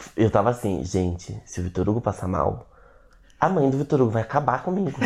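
With an animated tone and lively intonation, a man talks at a medium pitch. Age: 20s. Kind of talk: casual chat.

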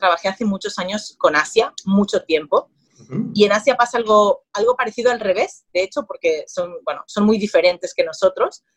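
Somewhat breathy and fairly high, a woman's voice moves at a moderate pace with ordinary pitch variation, in a dry, close sound with no echo. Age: 30s. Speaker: marketing agency founder. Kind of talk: interview.

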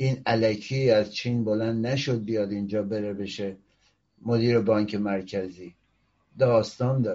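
The pitch of this man's voice is fairly low. He talks at a fairly slow pace. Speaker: political commentary show host, opposition activist. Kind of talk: political commentary monologue. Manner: animated.

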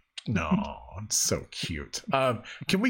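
A man's fairly high voice carries noticeable vocal fry. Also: very clean recording, silent background. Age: 40s. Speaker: video game podcast host. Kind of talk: casual chat. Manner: animated.

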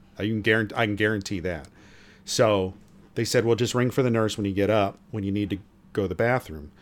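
On a very clean recording with a silent background, a man with a normal speaking voice talks at a fairly quick pace, fairly low in pitch, with fairly even intonation. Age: 50s. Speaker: podcast co-host, retiree. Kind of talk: casual chat.

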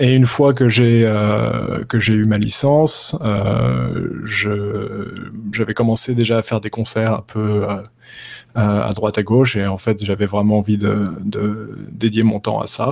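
The man's voice is fairly low, varying in pitch in an ordinary way. He speaks very slowly. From France, Paris. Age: 30s. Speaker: jazz guitarist. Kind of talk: interview. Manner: hesitant, many fillers.

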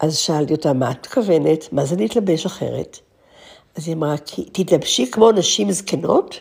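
This woman has a very deep, low voice with vocal fry. She talks at a moderate pace with lively intonation. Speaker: podcast host. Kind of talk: monologue. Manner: reflective.

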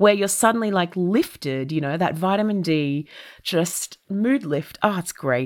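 A woman with an Australian accent speaks in an animated tone at a medium pitch. Her intonation is lively and her pace fairly slow. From Australia, Melbourne. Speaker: comedian. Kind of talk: casual chat. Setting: podcast interview.

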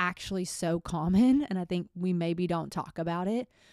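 A woman's unremarkable speaking voice, fairly low in pitch with ordinary pitch variation, at a fairly slow pace, in a very clean recording with a silent background and a dry, close sound with no echo. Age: 20s. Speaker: solo podcast host. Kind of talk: personal monologue. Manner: casual, conversational.

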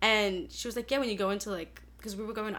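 Speaking at a medium pitch, a woman talks with an Australian accent. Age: 20s. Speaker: music student. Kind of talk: casual chat. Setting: studio.

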